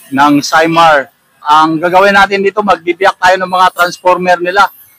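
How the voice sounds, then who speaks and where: With music in the background, a man's high-pitched voice moves at a moderate pace, the sound dry and close with no echo. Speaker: vlogger. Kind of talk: casual vlog talk. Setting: outdoors by a road.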